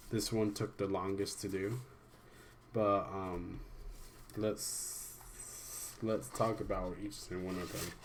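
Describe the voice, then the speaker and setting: In a room with audible echo, a man speaks very slowly at a fairly low pitch, monotone and flat. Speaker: amateur artist reviewing own drawings. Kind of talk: casual video commentary. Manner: halting, many restarts and fillers.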